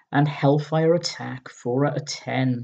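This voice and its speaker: A man speaks with a British accent at a medium pitch and a fairly slow pace. His tone is dark and mellow, somewhat breathy, with ordinary pitch variation. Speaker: retro gaming video host. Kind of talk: casual magazine review commentary. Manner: halting, stumbling over words.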